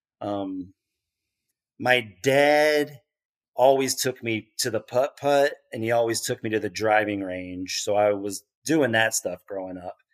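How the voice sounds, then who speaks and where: In an ordinary speaking voice with an American accent, the speaker goes at a fairly slow pace with ordinary pitch variation, the sound dry and close with no echo. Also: man, medium pitch for a man. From Kansas City area, US Midwest. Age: 40s. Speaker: golf course superintendent. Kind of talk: interview.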